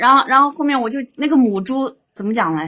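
Speaking high and at a moderate pace, a woman uses lively intonation. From Hubei, China. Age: 40s. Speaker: caller. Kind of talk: phone-in confession of life story.

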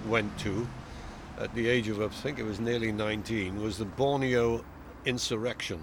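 A man speaks at a fairly slow pace with a Welsh accent. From South Wales. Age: 70s. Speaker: retired navy officer. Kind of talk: casual interview.

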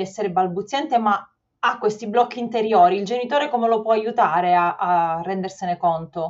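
With a normal speaking voice, a woman talks at a moderate pace and medium pitch, using ordinary pitch variation. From Sicily. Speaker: podcast host. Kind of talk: casual interview. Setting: video call.

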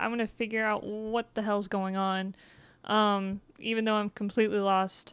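Here is a normal speaking voice from a woman, pitched fairly high. She talks at a moderate pace. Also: very clean recording, silent background. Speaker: streamer. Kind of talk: casual chat about video games.

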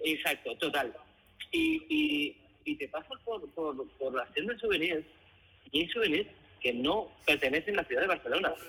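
A fairly slow pace with long, frequent pauses. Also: man. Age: 50s. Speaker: guest. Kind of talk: casual chat. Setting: phone call.

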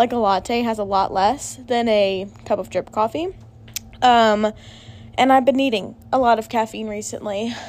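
A woman speaks at a moderate pace in a fairly high voice, with ordinary pitch variation. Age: 20s. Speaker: solo podcaster, college student. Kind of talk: casual monologue.

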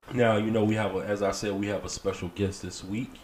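There's noticeable background noise as a man speaks at a moderate pace. His pitch is fairly low and his intonation monotone and flat. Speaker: podcast co-host. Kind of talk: casual chat. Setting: studio.

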